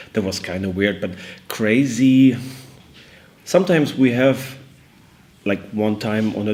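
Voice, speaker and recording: A man speaks with ordinary pitch variation. Noticeable background noise runs under his voice. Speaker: metal musician. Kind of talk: interview.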